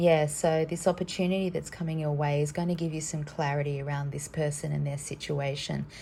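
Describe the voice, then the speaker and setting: A woman's very deep, low voice, somewhat breathy, flat and monotone, at a fairly quick pace. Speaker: tarot card reader. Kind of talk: card reading for viewers. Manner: hesitant, many fillers; casual.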